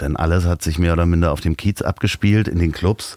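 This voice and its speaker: A man speaks with a very deep, low pitch and ordinary pitch variation. The sound is dry and close, with no echo. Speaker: podcast host. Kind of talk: casual interview. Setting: parked camper van. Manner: upbeat announcer-like.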